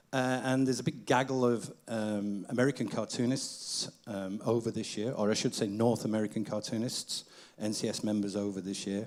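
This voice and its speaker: This man has a Manchester accent and a medium pitch. He talks at a moderate pace with ordinary pitch variation. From Manchester, northern England. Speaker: event host, cartoonist. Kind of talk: stage hosting.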